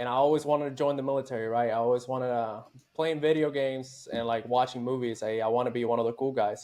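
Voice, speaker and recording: A man with a Puerto Rican accent talks very fast at a medium pitch in a monotone, flat voice. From Puerto Rico. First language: Spanish. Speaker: army veteran, former special forces soldier. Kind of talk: casual interview chat. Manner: casual, profane.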